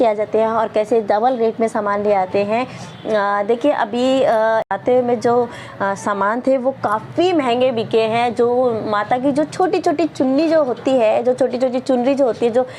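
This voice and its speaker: Fairly slow speech from a woman at a high pitch, ordinary in its pitch variation, with noticeable background noise. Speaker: vlogger. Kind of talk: casual vlog monologue. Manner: hesitant with many fillers.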